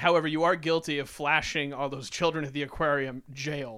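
In a very clean recording with a silent background, a man talks at a moderate pace in a bright, sharp tone. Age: 30s. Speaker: podcast co-host. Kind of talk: casual chat.

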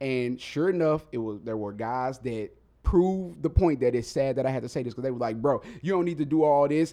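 A man speaks at a fairly quick pace with an American accent, his medium pitch moving with ordinary variation in a dark, mellow tone. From Mississippi, US South. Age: 30s. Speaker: rapper and spoken word artist. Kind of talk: casual interview chat. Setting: studio.

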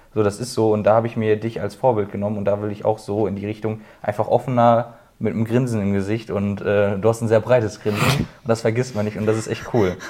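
Against a quiet background, a man with a fairly low pitch and a dark, mellow tone talks at a very fast pace in a monotone, flat intonation. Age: 20s. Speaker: apprentice painter and decorator. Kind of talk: casual chat.

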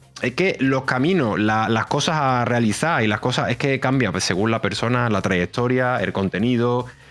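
A man speaking with very even loudness, hardly any pauses and ordinary pitch variation, music in the background. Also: medium pitch for a man, moderate pace. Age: 30s. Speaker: streamer. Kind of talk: casual chat.

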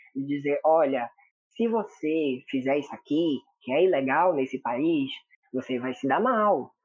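With a normal speaking voice, a man talks at a fairly slow pace with lively intonation. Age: 20s. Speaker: drama reviewer, social media page owner. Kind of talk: casual chat.

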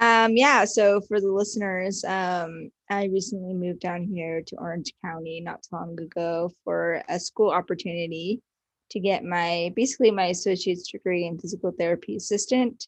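A woman with an American accent, medium in pitch with ordinary pitch variation, at a moderate pace with hardly any pauses, in a dry, close sound with no echo over a quiet background. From Northern California, Watsonville. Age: 20s. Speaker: podcast guest. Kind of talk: casual interview chat. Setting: call. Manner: hesitant, many fillers.

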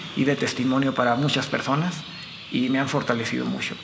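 Noticeable background noise and audible room echo surround a voice talking at a fairly quick pace with fairly even intonation. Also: man. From Mexico, Chihuahua (Delicias). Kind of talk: testimony.

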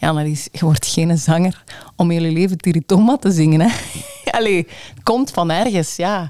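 Against noticeable background noise, a woman with a fairly low pitch speaks fairly slowly with lively intonation. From Limburg, Belgium. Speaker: radio presenter and station manager. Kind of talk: interview conversation.

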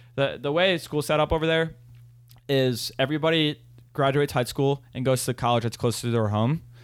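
This man has an unremarkable speaking voice with a fairly high pitch. He moves at a fairly quick pace with ordinary pitch variation. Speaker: podcast host, college student. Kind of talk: casual chat.

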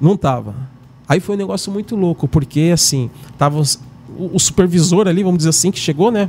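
The man's pitch is high, with ordinary variation. He speaks at a moderate pace. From São Paulo, Brazil. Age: 50s. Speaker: retired military police corporal. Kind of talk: casual chat. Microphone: too far from the mic.

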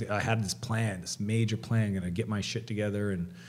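A man with a plain, everyday voice, fairly low in pitch, with fairly even intonation and a Canadian accent. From Canada. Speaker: entrepreneur and author. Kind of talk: podcast interview.

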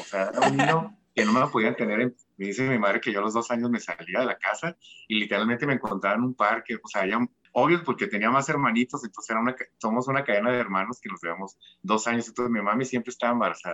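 A bright, sharp male voice at a very fast pace. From Tijuana, Mexico. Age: 40s. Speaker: fashion designer. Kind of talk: casual interview.

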